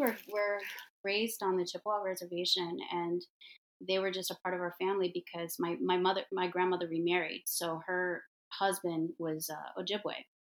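Here a woman talks in an American accent at a fairly quick pace. Her medium-pitched voice stays flat and monotone. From US Midwest, Detroit. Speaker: hair and makeup artist, entrepreneur. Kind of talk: casual interview.

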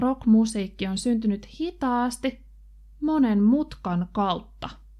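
A fairly high-pitched woman's voice with a dark, mellow tone and ordinary pitch variation. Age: 30s. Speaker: language teacher podcaster. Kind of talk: language-learning tutorial. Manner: slow, clear and repetitive.

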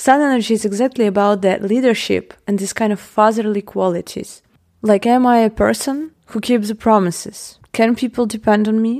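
A woman with a non-native accent talks at a moderate pace with hardly any pauses. Her intonation stays fairly even. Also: fairly high pitch for a woman. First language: not English. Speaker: podcast host. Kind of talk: solo podcast monologue. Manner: casual, occasional laughter.

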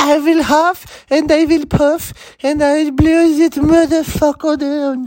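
This is a put-on character voice pitched high, delivered at a fairly slow pace. Its intonation is monotone and flat. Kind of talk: comic, exaggerated. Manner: growling, menacing.

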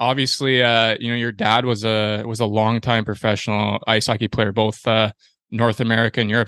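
A man with a Canadian accent speaks in an ordinary speaking voice. His pitch is medium and his intonation fairly even. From Ontario, Canada. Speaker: podcast host, hockey goalie. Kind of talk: casual interview chat.

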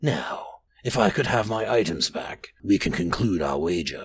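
Doing a put-on character voice, a man speaks in a raspy, fairly low tone. He keeps a moderate pace.

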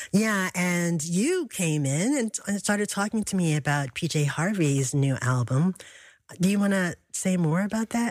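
A normal speaking voice with lively intonation goes at a fairly slow pace. The recording is very clean, with a silent background. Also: woman, fairly low pitch for a woman. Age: 60s. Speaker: radio host. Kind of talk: radio interview.

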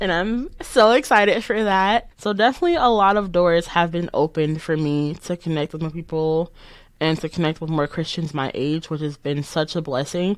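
With an American accent, a woman talks at a moderate pace in a plain, everyday voice, her fairly low pitch moving with ordinary variation against a quiet background. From Chicago south suburbs, Illinois. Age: 20s. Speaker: college student. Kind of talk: testimony.

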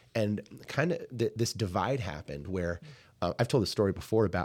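Lively intonation and vocal fry at a fairly quick pace, on a very clean recording with a silent background. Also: man. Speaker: podcast co-host. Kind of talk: casual conversational podcast discussion.

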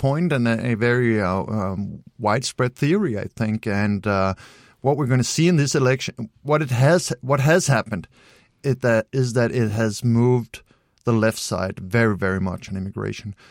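In a Danish accent, a man speaks at a moderate pace with lively intonation, captured in a very clean recording with a silent background and a dry, close sound with no echo. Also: medium pitch for a man. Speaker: political commentator. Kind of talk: interview.

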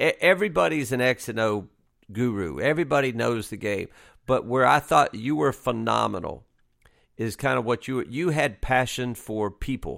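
A man with a Southern US accent speaks at a moderate pace and medium pitch, his intonation lively, in a very clean recording with a silent background. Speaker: podcast host and former college basketball coach. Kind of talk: casual interview chat.

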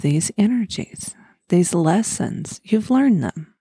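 With an American accent, a woman speaks in a dark, mellow, gentle and soothing tone that is somewhat breathy, her pitch varying in an ordinary way. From Oklahoma, US. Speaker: podcast host, spiritual guide. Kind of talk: guided meditation (fall imagery, letting go). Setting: recorded podcast. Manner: slow, soothing, calm; gentle, repetitive, hypnotic pacing.

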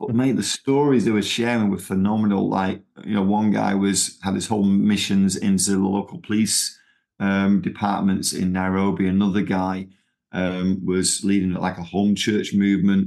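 At a moderate pace, a man speaks with fairly low pitch, fairly even intonation and very even loudness, in a very clean recording with a silent background. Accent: strong Manchester. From Manchester, England. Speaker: missionary movement leader. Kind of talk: casual interview.

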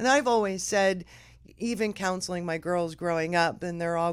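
A woman with an American accent at a fairly quick pace, in a very clean recording with a silent background. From Philadelphia. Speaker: title company employee. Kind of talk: casual conversation. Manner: animated.

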